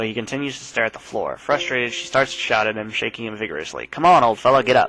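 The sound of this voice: The voice reads in an unforced way.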